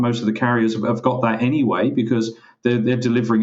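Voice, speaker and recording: This is a man talking with an English accent. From England. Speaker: parcel locker industry expert, co-host. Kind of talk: business podcast discussion.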